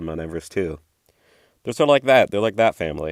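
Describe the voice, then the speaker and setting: A man talking at a very fast pace, dry and close with no echo, in a very clean recording with a silent background. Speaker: art vlogger. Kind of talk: casual voiceover commentary. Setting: home voiceover recording. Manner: monotone.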